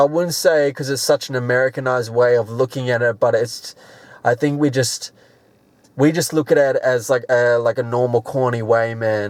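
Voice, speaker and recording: This man talks with an Australian accent at a moderate pace. His intonation stays fairly even. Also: medium pitch for a man. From Australia, Sydney. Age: 20s. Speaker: rapper. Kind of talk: interview. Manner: casual.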